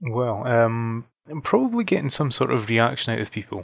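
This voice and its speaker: A man keeps a moderate pace on a very clean recording with a silent background. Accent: Scottish. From Fife, Scotland. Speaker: musician. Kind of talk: interview. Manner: hesitant, filler-heavy.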